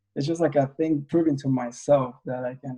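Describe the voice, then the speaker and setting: The man has a non-native accent. He talks at a fairly quick pace. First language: not English. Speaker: independent filmmaker. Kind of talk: interview conversation. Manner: halting, many fillers.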